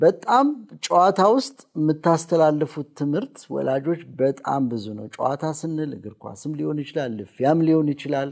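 A man speaks at a fairly high pitch with ordinary pitch variation. The background is quiet. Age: 40s. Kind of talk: religious family teaching talk. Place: studio. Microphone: lapel.

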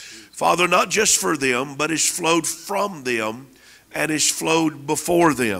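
Lively intonation comes through at a very slow pace. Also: man, fairly high pitch for a man. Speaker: minister praying over guest; guest. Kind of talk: prophetic prayer. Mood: fervent, earnest. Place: church. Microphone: handheld.

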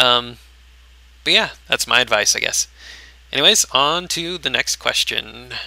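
A man talks at a fairly slow pace, leaving long, frequent pauses. His tone is bright and sharp with vocal fry, and his pitch variation is ordinary. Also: medium pitch for a man. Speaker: gaming YouTuber. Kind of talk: solo Q&A monologue. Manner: rambling with many fillers.

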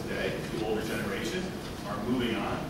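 A man talking very fast, with loud background noise and audible room echo. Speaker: presenter. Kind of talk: lecture. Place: hall. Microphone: camera far.

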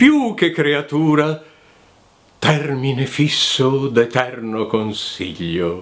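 A man is speaking. His pitch swings very widely. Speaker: voice actor. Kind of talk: poetry reading. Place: home room.

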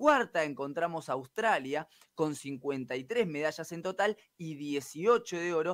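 A man speaks very slowly at a fairly high pitch, his intonation lively and his loudness swinging widely. The sound is dry with no echo, over a quiet background. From Argentina. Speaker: sports reporter. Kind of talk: sports news report. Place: studio. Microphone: studio mic.

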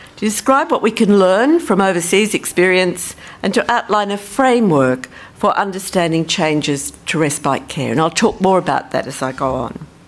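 The speaker has an Australian accent and a moderate pace. The pitch swings very widely. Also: woman, medium pitch for a woman. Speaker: social policy professor. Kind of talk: conference talk. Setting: stage with audience.

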